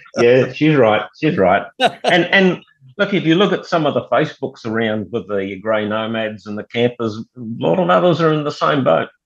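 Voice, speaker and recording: Speaking at a moderate pace with an Australian accent, this voice swings very widely in pitch. There are hardly any pauses. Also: man, medium pitch for a man. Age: 70s. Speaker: camp oven cooking enthusiast. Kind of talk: casual interview.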